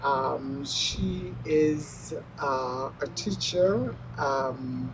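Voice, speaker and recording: Music plays in the background as a woman speaks at a very slow pace. Audible room echo is present. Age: 70s. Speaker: mother honored at church. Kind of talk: interview testimony.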